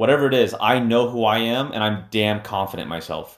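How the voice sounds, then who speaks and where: A man's ordinary speaking voice, fairly low in pitch, at a moderate pace. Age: 30s. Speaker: podcast host and entrepreneur. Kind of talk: solo podcast monologue. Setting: home streaming room.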